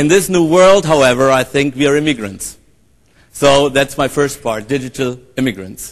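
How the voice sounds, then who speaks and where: This man speaks with a German accent. His pitch is fairly high. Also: ordinary pitch variation, moderate pace. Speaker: professor and conference moderator. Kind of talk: conference keynote introduction. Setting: stage with audience. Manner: hesitant, many fillers.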